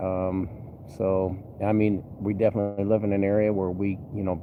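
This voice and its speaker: A man's relaxed, fairly low voice at a moderate pace, with monotone, flat intonation. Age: 50s. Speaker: vlogger, bus mechanic and former trucker. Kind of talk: casual vlog update. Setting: poolside, outdoors. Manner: relaxed, filler-heavy.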